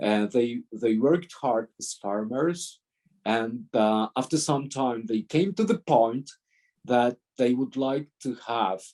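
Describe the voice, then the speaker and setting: Speaking very slowly, a man uses a medium-pitched, dark, mellow tone with ordinary pitch variation, in a dry, close sound with no echo. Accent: Polish. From Poland. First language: Polish. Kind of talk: talk with Q&A. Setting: video call. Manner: halting.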